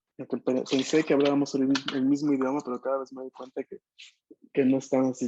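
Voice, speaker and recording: A man's dark, mellow voice of medium pitch, fairly quick, with monotone, flat intonation and big swings in loudness. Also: dry, close sound with no echo. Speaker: language teacher. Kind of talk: online language class.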